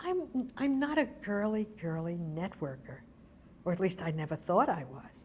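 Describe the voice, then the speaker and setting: Speaking with an American accent, a woman uses a medium pitch and a somewhat breathy voice. Her pace is fairly slow, and her pitch swings very widely. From Brooklyn, New York. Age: 80s+. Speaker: arts organization founder. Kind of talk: oral history interview.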